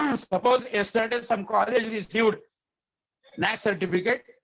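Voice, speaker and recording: Speaking at a moderate pace, a man has a high pitch and fairly even intonation. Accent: Indian. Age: 70s. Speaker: education quality expert, webinar speaker. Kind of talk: lecture. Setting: webinar over internet. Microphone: unstable internet connection.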